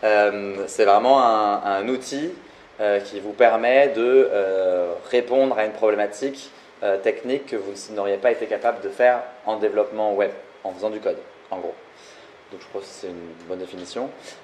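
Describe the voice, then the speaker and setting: A man with a fairly low voice speaks with long, frequent pauses and big swings in loudness. His pitch varies normally, and background noise is noticeable. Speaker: no-code consultant and co-founder. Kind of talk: live talk interview. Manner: fast.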